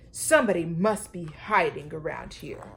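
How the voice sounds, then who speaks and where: A woman puts on a growling character voice with a fairly low pitch. She keeps a moderate pace. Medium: read story.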